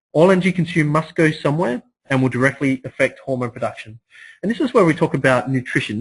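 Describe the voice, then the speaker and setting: Somewhat breathy delivery at a very fast pace, with ordinary pitch variation. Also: man. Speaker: fitness trainer. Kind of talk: seminar talk.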